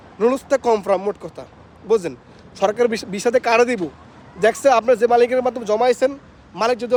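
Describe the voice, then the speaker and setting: A man's high-pitched voice with fairly even intonation, dry and close with no echo, over crowd noise in the background. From Bangladesh, Comilla. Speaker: migrant worker vlogger. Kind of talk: casual vlog.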